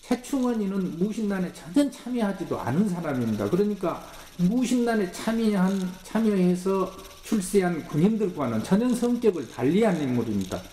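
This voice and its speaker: With light background noise and audible room echo, a man talks at a moderate pace in a high voice with lively intonation. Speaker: history professor. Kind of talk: interview. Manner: halting. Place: studio.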